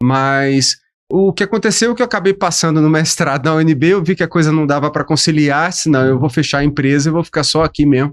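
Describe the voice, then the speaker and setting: Using an ordinary speaking voice, a man talks at a fairly quick pace and fairly high pitch, with ordinary pitch variation, very even loudness and a quiet background. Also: dry, close sound with no echo. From Brasília, Brazil (born in Aracaju, Sergipe). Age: 50s. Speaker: professor and business founder. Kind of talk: podcast interview. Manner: casual.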